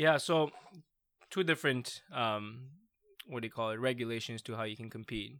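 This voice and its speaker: Speaking at a moderate pace with an Iranian accent, a man of medium pitch uses ordinary pitch variation, big swings in loudness, and long, frequent pauses. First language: Farsi. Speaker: PhD researcher in parasport. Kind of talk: casual chat.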